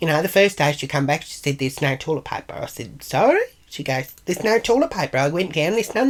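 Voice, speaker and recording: Talking at a fairly quick pace, a woman with a strong Australian accent uses a very deep, low pitch that swings very widely. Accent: broad Australian. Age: 60s. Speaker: vlogger. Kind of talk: casual vlog monologue.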